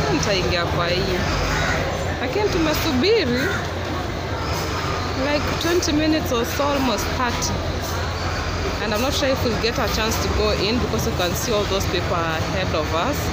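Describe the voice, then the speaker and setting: A woman speaks with long, frequent pauses. Crowd noise runs in the background. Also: moderate pace. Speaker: vlogger. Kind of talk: casual vlog chat. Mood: mildly impatient, hot. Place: waterside. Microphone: phone near.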